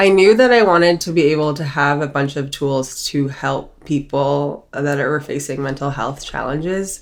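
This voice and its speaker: Ordinary pitch variation marks this moderately paced speech with an American accent. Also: woman, very deep, low pitch for a woman, hardly any pauses. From Maryland, US. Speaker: psychiatric nurse practitioner. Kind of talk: podcast interview.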